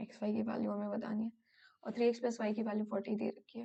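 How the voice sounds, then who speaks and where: A woman's fairly high yet dark, mellow voice with vocal fry, at a moderate pace. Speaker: exam prep tutor. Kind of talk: tutorial. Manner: hesitant with fillers.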